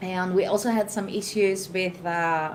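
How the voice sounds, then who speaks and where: A woman with a Greek accent talks at a medium pitch. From Greece. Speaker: tech conference speaker. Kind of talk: panel discussion.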